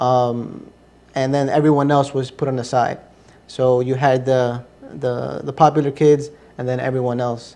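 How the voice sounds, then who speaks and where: A man with a medium pitch and a dark, mellow tone speaks at a moderate pace in a monotone, flat intonation. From US, Ecuadorian family. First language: Spanish. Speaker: interview guest, convert to Islam. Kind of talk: interview testimony. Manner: hesitant, many fillers.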